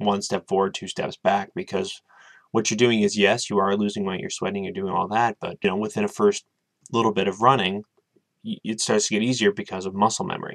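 A man with a fairly low pitch talks at a fairly quick pace in a monotone, flat intonation over a quiet background. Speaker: vlogger. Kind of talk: casual vlog chat. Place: home room. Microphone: webcam.

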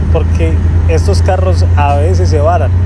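A man talks at a fairly slow pace. Loud background noise fills the dry, echo-free sound. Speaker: truck driver vlogger. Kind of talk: casual vlog chat. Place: car. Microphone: phone near.

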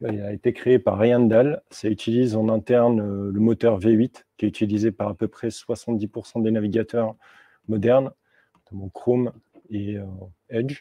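In a dry recording with no echo, a man at medium pitch speaks fairly slowly in a flat monotone. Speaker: software developer; conference speaker. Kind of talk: tech talk. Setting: stage with audience. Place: meeting room.

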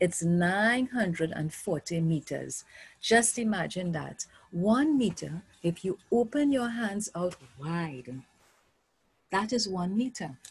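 A woman speaks at a very slow pace, her somewhat breathy voice making very wide pitch swings. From Trinidad and Tobago. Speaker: primary school teacher. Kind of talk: online art lesson for children. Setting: video lesson with screen share. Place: home room. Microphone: webcam.

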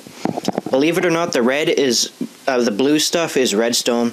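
A man speaks in a medium pitch with ordinary pitch variation. There is noticeable background noise. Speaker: gaming commentator. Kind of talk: casual gameplay commentary. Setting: home recording with microphone. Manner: loud; animated.

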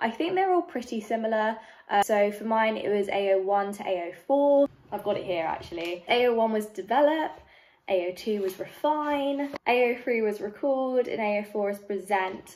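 Speaking with a London accent, a woman uses a fairly high pitch and lively intonation at a fairly slow pace. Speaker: youtuber. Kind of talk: tutorial. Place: home room. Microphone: phone near.

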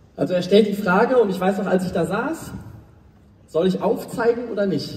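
An animated man with a high pitch at a moderate pace, audible room echo around him. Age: 20s. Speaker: motivational speaker. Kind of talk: motivational talk. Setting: stage with audience. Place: stage.

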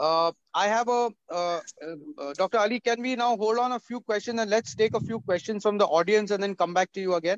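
A man talks at a high pitch with ordinary pitch variation and a moderate pace. The sound is dry with no echo over a quiet background. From India. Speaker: panel moderator. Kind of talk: online panel discussion. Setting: video call. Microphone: video call.

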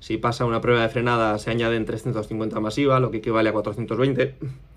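A man speaks with a Spanish accent. His intonation stays flat and monotone. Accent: Spain Spanish. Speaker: custom motorcycle workshop owner. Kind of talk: casual vlog monologue. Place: office. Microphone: phone near.

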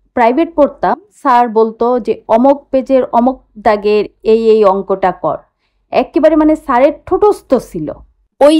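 Against a quiet background, a woman speaks in a dark, mellow tone with lively intonation. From Bangladesh, Khulna; Bangladesh. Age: 50s. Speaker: vlogger; vlogger revisiting her old school. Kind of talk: vlog narration. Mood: nostalgic, warm. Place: open country. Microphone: phone near.

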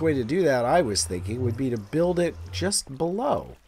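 A man's pitch swings very widely as he talks, with noticeable background noise around him. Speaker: gaming YouTuber. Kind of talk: gameplay commentary.

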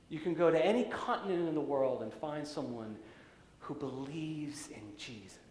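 A man with an American accent talks at a moderate pace with lively intonation. Room echo can be heard. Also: big swings in loudness. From US, raised partly in Central Europe. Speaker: pastor. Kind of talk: sermon. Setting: church. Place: church.

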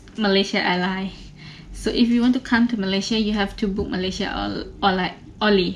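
A woman talks with fairly even intonation. Behind her, music plays. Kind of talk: casual vlog chat. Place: home room. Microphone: phone near.

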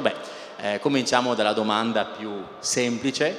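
A man speaks at a moderate pace. There is light background noise and audible room echo. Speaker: interviewer, host. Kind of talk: stage presentation. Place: stage. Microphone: handheld.

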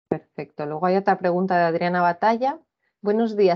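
A woman with an unremarkable speaking voice, medium pitch, ordinary pitch variation, and a quiet background. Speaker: cluster manager; webinar moderator. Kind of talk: formal presentation. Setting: video call. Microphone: video call.

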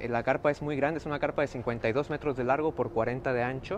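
Over light background noise comes a normal speaking voice. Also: man. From Mexico, Reynosa, Tamaulipas. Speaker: circus performer. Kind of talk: live interview. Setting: inside a circus tent. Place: tent. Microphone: phone near.

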